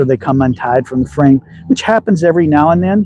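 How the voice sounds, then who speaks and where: A man's fairly high-pitched voice with a slight Southern US accent. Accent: slight Southern drawl. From Texas. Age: 60s. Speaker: slingshot hobbyist. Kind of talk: live stream chat. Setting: outdoors. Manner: casual.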